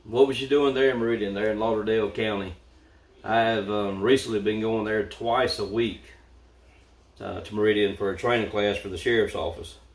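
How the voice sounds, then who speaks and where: A man speaks with a Southern US accent. His pitch is fairly low and his intonation fairly even. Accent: Southern US, a little country. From US South, Mississippi. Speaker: vlogger and sheriff's deputy. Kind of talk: livestream chat. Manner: casual, hesitant.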